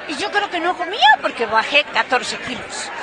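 A woman uses a raised, projected voice at a moderate pace, the sound dry with no echo, as crowd noise carries in the background. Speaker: interviewee. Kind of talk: interview answer. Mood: amused, anecdotal. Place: hall.

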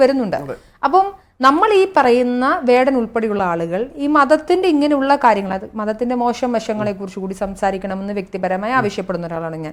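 In an ordinary speaking voice, a woman talks at a fairly high pitch with lively intonation. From Kerala. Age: 30s. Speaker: political commentator. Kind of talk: panel discussion.

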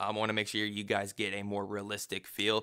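The background is quiet as a man talks. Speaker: tech reviewer. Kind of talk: tutorial. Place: home room. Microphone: studio mic.

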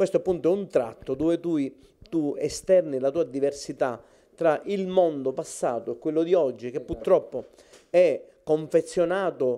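This man's fairly high voice has a dark, mellow tone, moving at a fairly slow pace with ordinary pitch variation. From Sicily (Cefalù); Sicily. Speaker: literary society president; host presenting an award. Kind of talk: formal speech. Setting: at the guest's home. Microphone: handheld.

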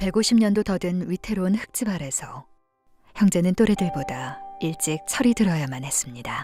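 A woman's calm, gentle tone with lively intonation at a moderate pace, music in the background. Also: medium pitch for a woman. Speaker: voice actor. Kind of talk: charity appeal narration.

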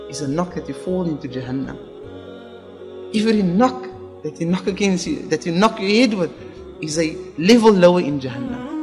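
There is music in the background as a man talks at a high pitch with lively intonation. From Cape Town, South Africa. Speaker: Islamic scholar and imam. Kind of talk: religious talk.

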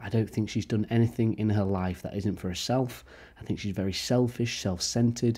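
Fairly even intonation marks this man's fairly low voice, which has a dark, mellow tone. He speaks with an English accent at a fairly quick pace. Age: 20s. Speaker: YouTube commentator. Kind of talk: casual reaction commentary.

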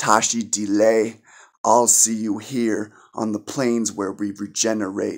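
A man at a very slow pace, fairly low in pitch, monotone and flat in intonation, quiet background. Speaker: poet. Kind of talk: spoken word poetry, performed poem. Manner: earnest, impassioned, preachy tone. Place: home room. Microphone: phone near.

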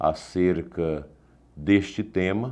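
Very deep and low in pitch, a man speaks at a very slow pace with a dark, mellow tone and ordinary pitch variation. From Brazil. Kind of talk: catechesis lecture. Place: studio.

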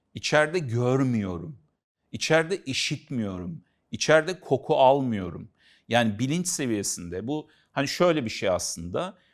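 A man's fairly slow speech with very wide pitch swings, on a very clean recording with a silent background. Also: medium pitch for a man. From Central Anatolia, Turkey. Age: 50s. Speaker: author and consultant on aphantasia. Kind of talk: casual educational conversation.

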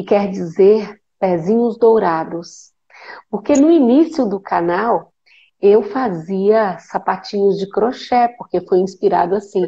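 A woman with a Brazilian accent, dark and mellow in tone, medium in pitch, very slow in pace, with ordinary pitch variation. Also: quiet background. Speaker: guest, spiritual light worker. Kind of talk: casual spiritual conversation on live stream. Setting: video call live stream, phone with headphones. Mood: warm, grateful, smiling. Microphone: earbuds.

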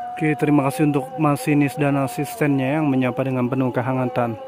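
With noticeable background noise but a dry sound with no echo, a man speaks with ordinary pitch variation. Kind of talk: casual vlog commentary. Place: station.

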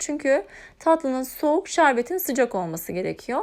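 In a very clean recording with a silent background, a woman speaks at a moderate pace in a high voice that swings very widely in pitch. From Turkey, Eskişehir. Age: 30s. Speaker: cooking YouTuber. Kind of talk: cooking tutorial narration. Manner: calm, instructional with hesitations.

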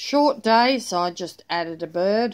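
A woman speaks with an Australian accent. Her pitch swings very widely. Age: 40s. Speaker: planner vlogger; planner hobby vlogger. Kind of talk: casual chat; casual vlog chat. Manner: rambling with fillers. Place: home room. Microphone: phone near.

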